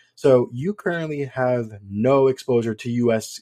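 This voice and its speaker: With an American accent, a man speaks in a dark, mellow tone at a medium pitch with ordinary pitch variation. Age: 30s. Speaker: podcast host. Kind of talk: podcast interview.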